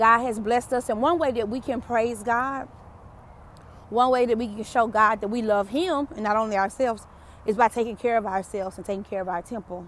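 In a Southern US accent, the speaker uses an animated tone and ordinary pitch variation at a fairly quick pace. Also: woman, fairly high pitch for a woman. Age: 40s. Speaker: podcast host, motivational speaker. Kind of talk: motivational monologue. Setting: outdoors, walking. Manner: animated, preachy.

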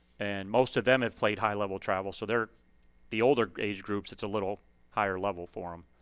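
With an American accent, a man talks at a fairly quick pace in a fairly low pitch, his intonation fairly even and his loudness swinging widely, in a very clean recording with a silent background. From US Midwest, Illinois (Chicago area). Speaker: high school basketball coach. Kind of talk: casual interview.

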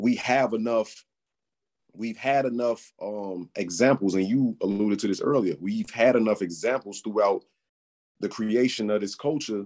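A man's voice at a medium tempo, its pitch rising and falling in an ordinary way, set against a quiet background. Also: fairly low pitch for a man. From Chicago. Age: 30s. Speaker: rapper. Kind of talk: casual interview.

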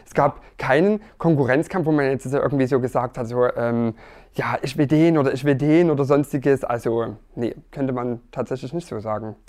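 A man with an ordinary speaking voice talks at a moderate pace and medium pitch, with ordinary pitch variation. His loudness swings widely. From Erzgebirge, Saxony. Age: 30s. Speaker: dating show contestant. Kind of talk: casual interview.

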